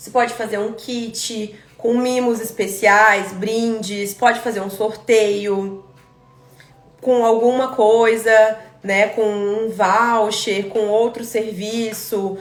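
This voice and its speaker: Speaking very slowly in a flat monotone, a woman with a Brazilian accent and fairly high pitch is heard with audible room echo and music in the background. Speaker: aesthetic pharmacist teaching a course. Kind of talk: live online class. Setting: live stream.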